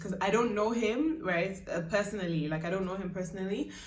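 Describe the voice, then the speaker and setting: A woman is speaking. Audible echo fills the room around her. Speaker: YouTuber and singer. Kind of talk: casual vlog. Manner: chatty, many fillers.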